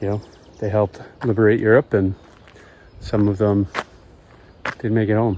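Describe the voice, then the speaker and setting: A man's monotone, flat delivery at a moderate pace, broken by long, frequent pauses. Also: fairly low pitch for a man. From Massachusetts, US. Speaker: travel vlogger. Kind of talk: travel vlog narration. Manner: halting.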